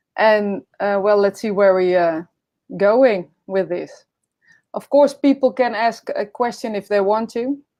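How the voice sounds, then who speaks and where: With a Dutch accent, a woman talks at a fairly slow pace in a medium pitch, her pitch rising and falling in an ordinary way. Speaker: podcast host. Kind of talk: casual interview. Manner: halting.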